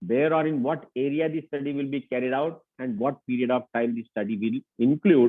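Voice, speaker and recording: A man with an Indian accent speaks in a fairly high voice. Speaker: lecturer. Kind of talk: lecture. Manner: fast.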